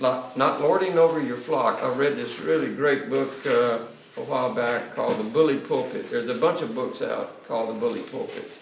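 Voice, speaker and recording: A man is speaking. There is noticeable background noise and audible room echo. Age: 40s. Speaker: seminary professor and pastor. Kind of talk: lecture. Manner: fast; halting.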